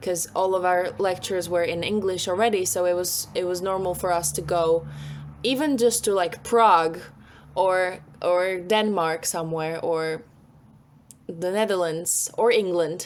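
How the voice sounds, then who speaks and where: A Slovak accent at a fairly slow pace. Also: woman, medium pitch for a woman, ordinary pitch variation. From Slovakia, Bratislava. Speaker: singer-songwriter. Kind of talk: interview.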